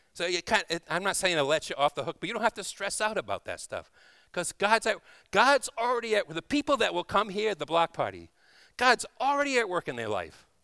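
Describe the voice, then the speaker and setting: A man speaks in a raised, projected voice, high-pitched and fairly quick, with lively intonation and a tone both warm and bright, sharp. The sound is dry and close with no echo, on a very clean recording with a silent background. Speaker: guest preacher. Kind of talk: sermon. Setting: church. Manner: warm, informal, humorous.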